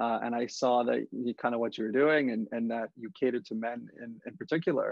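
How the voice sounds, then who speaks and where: Talking fairly quickly, a man has a plain, everyday voice at medium pitch with ordinary pitch variation. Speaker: podcast host. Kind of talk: podcast interview questions.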